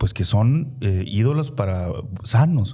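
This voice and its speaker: A man speaks with a northern Mexican accent. His tone is dark and mellow, and somewhat breathy. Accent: northern Mexican (Chihuahua) accent, kept. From Chihuahua, northern Mexico. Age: 40s. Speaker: politician. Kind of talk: interview conversation. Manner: hesitant, many fillers.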